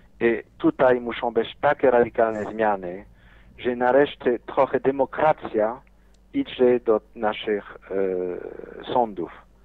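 At a very slow pace, a man speaks in a medium-pitched voice. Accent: non-native. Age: 50s. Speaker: businessman. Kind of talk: interview. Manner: animated.

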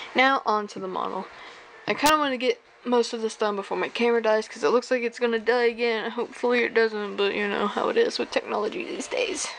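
A woman talks at a very fast pace with ordinary pitch variation. There is light background noise. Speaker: hobby reviewer. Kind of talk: casual product review vlog. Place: home room. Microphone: phone near.

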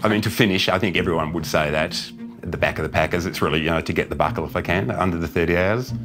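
A man with an Australian accent talks at a very fast pace in a very deep, low pitch with ordinary pitch variation. Clear music plays in the background. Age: 60s. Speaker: ultra runner. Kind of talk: interview answer. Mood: modest, reflective, smiling. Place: home room.

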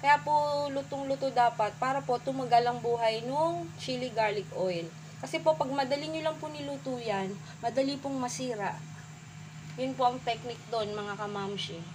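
A woman speaks at a moderate pace, her pitch swinging very widely. Noticeable background noise runs underneath. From Philippines. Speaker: home cook vlogger. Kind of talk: cooking tutorial. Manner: polite, uses po throughout. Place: kitchen. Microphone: phone near.

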